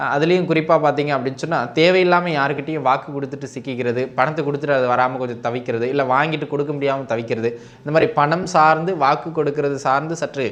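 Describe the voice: A man talks at a fast pace with few pauses and a fairly high pitch. His tone is fairly bright and his intonation fairly even.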